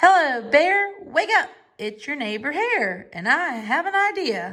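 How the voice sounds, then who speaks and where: A put-on character voice, high in pitch, swings very widely up and down at a fairly slow pace. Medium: read story. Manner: smooth, persuasive.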